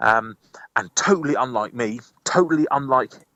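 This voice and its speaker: An English accent from a man, his pitch varying in an ordinary way. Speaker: community radio presenter and station manager. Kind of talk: radio interview. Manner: fast talking with lots of intonation on his own shows.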